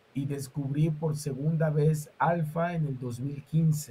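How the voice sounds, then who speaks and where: His tone is dark and mellow. This man's voice sits fairly high, with ordinary pitch variation. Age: 50s. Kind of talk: interview. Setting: live stream.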